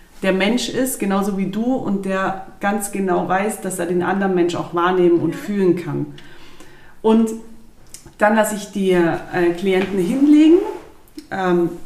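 Over audible room echo, a woman speaks at a medium pitch and moderate pace with ordinary pitch variation and long, frequent pauses. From southern Germany, Lake Constance area. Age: 30s. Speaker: physiotherapist. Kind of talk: casual interview. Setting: in person, recorded at her place.

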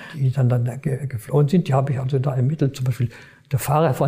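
A man races along at a very fast pace, his pitch medium. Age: 90s. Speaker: retired prosecutor. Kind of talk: interview recollection. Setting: office. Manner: halting.

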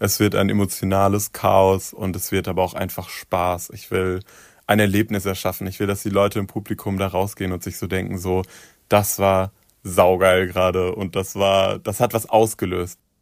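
Monotone and flat in intonation, the speech moves at a moderate pace in a very clean recording with a silent background. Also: man, very deep, low pitch for a man. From southern Hesse, Germany. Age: 20s. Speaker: pop singer. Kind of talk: interview.

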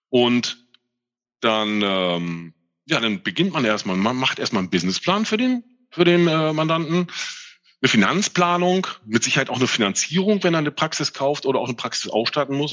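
Here a man is talking. His pitch swings very widely. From northern Germany, Mölln. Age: 50s. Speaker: tax adviser. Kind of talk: interview. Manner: halting.

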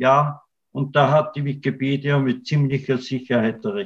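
A man talks at a fairly slow pace in a fairly high, somewhat breathy voice. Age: 60s. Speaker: writer and artist. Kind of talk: interview conversation.

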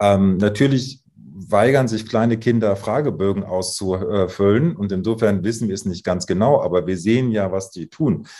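A man's fairly low, dark, mellow voice, at a moderate pace with ordinary pitch variation. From northern Germany, Emsland. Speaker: psychologist. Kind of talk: interview.

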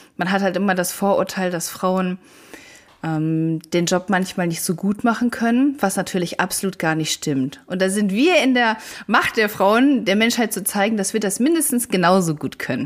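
In an unremarkable speaking voice, a woman at medium pitch talks at a moderate pace with lively intonation. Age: 30s. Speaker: firefighter. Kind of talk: interview.

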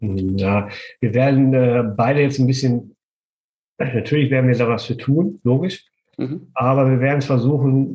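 Somewhat breathy man's voice, medium in pitch, with fairly even intonation. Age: 50s. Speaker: construction business owner and property renter. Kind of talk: interview.

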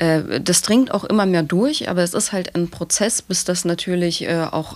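Here is a woman with a plain, everyday voice and a fairly low pitch. She keeps a moderate pace and ordinary pitch variation. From Germany, Dresden (Saxony). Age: 20s. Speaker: activist. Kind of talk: podcast interview.

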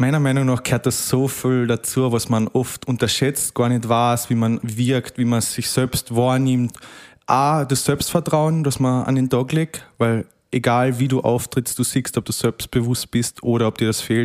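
A man with a Carinthian accent, medium pitch, monotone flat intonation, fairly slow pace and very even loudness, in a dry close sound with no echo on a very clean recording with a silent background. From Austria, Carinthia. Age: 20s. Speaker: rural youth club district leader. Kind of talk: casual interview.

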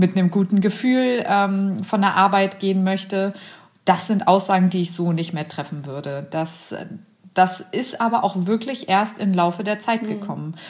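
A woman with an unremarkable speaking voice talks at a fairly slow pace, in a medium pitch with fairly even intonation. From Braunschweig, Lower Saxony, Germany. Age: 30s. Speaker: intensive care nurse. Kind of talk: casual chat. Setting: video call.

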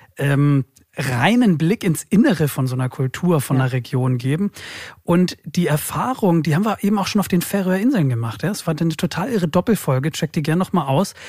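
An unremarkable speaking voice with lively intonation at a fairly quick pace, in a dry, close sound with no echo and a very clean recording with a silent background. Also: man, fairly high pitch for a man. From Germany, Hamburg. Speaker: podcast host. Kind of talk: casual chat.

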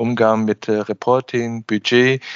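A man's medium-pitched voice at a very slow pace, with monotone, flat intonation. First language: Chinese (speaking German). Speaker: podcast host and business consultant. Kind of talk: interview. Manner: hesitant, frequent filler sounds.

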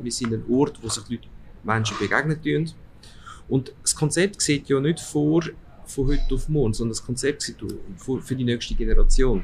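A man talks at a fairly quick pace in a fairly high pitch, his voice somewhat breathy. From Switzerland, Aargau, Italian parents. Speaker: department store executive. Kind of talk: interview. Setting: restaurant.

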